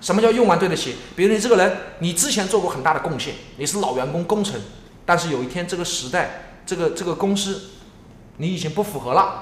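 Over noticeable background noise and audible room echo, a man talks at a fairly quick pace with a high pitch. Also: ordinary pitch variation. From Jiangsu, Yancheng. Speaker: entrepreneur, coffee space founder. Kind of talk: casual interview. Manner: repetitive, stammering.

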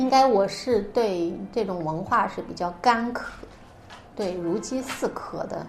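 The intonation is lively, and the room echo is audible. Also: woman. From northern Xinjiang, China. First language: Uyghur (speaking Chinese). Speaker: writer. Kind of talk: interview. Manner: hesitant, many fillers.

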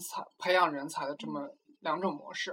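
A man is speaking. His pace is fairly slow. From China. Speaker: graduate student. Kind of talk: casual interview chat. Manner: halting with frequent word repetitions.

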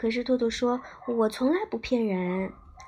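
The passage is read aloud plainly, and the pitch moves in an ordinary way.

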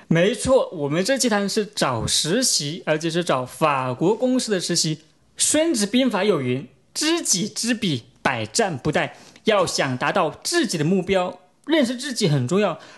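The delivery is fairly slow. Background music can be heard throughout. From China. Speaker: podcast host. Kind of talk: podcast interview.

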